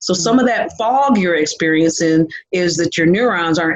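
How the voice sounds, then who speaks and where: With ordinary pitch variation, a woman speaks at a fairly low pitch. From Michigan. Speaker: nutritionist. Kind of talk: casual interview. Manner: fast when excited.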